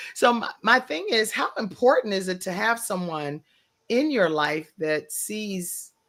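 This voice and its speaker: A woman speaks at a medium pitch in a bright, sharp tone. Her very slow delivery carries lively intonation. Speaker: talk show host. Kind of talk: interview.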